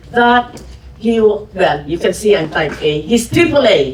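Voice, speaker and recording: A woman with a Filipino accent speaks fairly slowly, her pitch swinging very widely. Noticeable background noise is present. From Philippines. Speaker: podcast host and businesswoman. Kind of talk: fireside chat with audience. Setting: museum event with audience.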